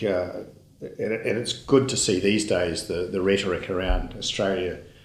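A man with a fairly low voice and ordinary pitch variation talks in a space with audible room echo. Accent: New Zealand. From New Zealand (Auckland). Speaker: dairy company CEO. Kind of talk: interview.

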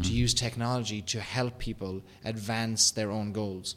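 A man speaks with an Irish accent. His pitch is medium and his intonation fairly even. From Ireland. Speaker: podcast host. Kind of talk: business podcast discussion.

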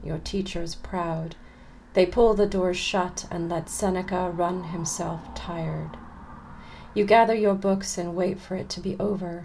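A woman with an American accent, medium pitch, fairly even intonation and a fairly slow pace, with audible room echo. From California, US. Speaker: poet and literature professor. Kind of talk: interview conversation; poetry reading. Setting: remote recording.

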